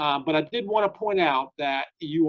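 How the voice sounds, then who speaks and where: This man talks at a fairly high pitch with ordinary pitch variation. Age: 60s. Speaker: state government official. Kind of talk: interview Q&A. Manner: halting with many fillers.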